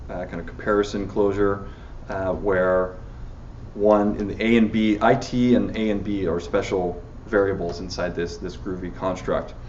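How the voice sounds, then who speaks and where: A man with a fairly low pitch and fairly even intonation is heard with audible room echo. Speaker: software engineer giving a tech talk. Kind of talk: technical talk with live demo. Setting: meetup talk with live audience. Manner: fast; halting, many fillers.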